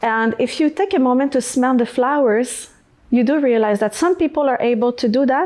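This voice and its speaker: A woman with a French accent talks at a fairly quick pace in a high voice. Her loudness stays very even while her pitch varies in an ordinary way. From Quebec, Canada. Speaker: singer-songwriter. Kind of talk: podcast interview. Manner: halting, searching for words.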